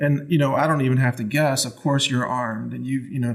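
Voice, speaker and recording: The speech comes very fast in a flat monotone, with noticeable noise in the background. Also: man. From Texas. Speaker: podcast host. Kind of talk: casual interview chat. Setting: studio.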